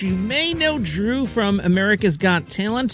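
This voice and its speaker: Music plays in the background while a man talks at a fairly slow pace. His pitch is high and his intonation lively. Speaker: podcast host. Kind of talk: podcast news intro.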